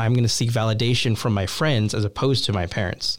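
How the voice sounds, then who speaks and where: A man with a plain, everyday voice, medium pitch, fairly even intonation and a fairly quick pace, on a very clean recording with a silent background. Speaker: youth ministry associate director. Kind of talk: casual interview chat.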